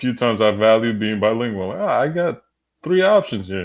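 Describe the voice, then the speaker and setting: Here a man speaks at a medium pitch. His intonation is lively. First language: Spanish. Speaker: podcast host. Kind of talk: casual chat.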